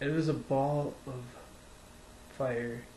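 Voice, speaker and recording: A man's fairly high-pitched voice with an American accent and flat, monotone intonation, in audible room echo. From central Wisconsin, Wood County. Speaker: vlogger recounting personal experience. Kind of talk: casual first-person storytelling. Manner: halting, many fillers.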